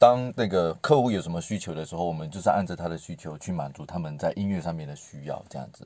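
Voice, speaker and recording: A very deep, low male voice with a Malaysian accent, dark and mellow in tone, at a very fast pace with ordinary pitch variation. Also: big swings in loudness. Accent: Malaysian Mandarin, noticeable. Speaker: multimedia worker and parent. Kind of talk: casual chat.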